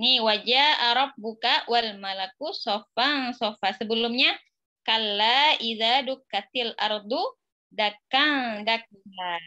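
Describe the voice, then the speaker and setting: Over a quiet background, a woman speaks very slowly at a fairly high pitch with ordinary pitch variation. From Indonesia. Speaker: Arabic teacher. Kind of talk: online class lesson. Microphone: phone near.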